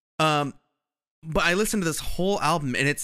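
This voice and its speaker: A man speaks at a fairly quick pace in a bright, sharp tone, on a very clean recording with a silent background. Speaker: podcast host.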